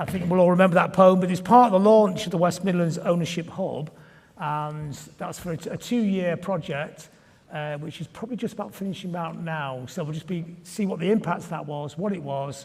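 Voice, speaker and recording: A man with a northern English accent, high in pitch, at a fairly quick pace, with ordinary pitch variation and big swings in loudness. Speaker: panel moderator. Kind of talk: panel discussion.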